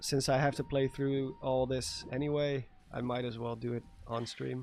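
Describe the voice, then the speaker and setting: Music plays in the background as a man with a Dutch accent speaks at a moderate pace. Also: medium pitch for a man. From Netherlands. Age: 30s. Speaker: gaming streamer. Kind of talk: casual live stream commentary. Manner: animated.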